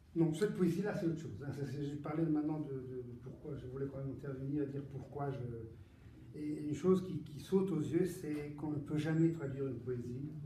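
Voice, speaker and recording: Fairly quick male voice at a fairly high pitch, with fairly even intonation, audible room echo and noticeable background noise. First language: Italian (speaking French). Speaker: poet. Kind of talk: book presentation Q&A. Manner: halting, many repetitions and hesitations.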